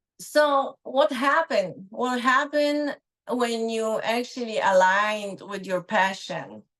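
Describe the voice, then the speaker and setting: Very slow, lively intonation from a woman with a fairly high pitch and a Polish accent. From Poland. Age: 50s. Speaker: speech pathologist. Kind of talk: guest talk on a live online show.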